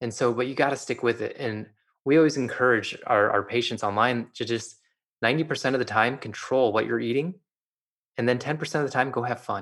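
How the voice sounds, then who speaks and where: A man has an unremarkable speaking voice at medium pitch. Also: fairly even intonation, fairly quick pace, quiet background. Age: 30s. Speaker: optometrist. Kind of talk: interview.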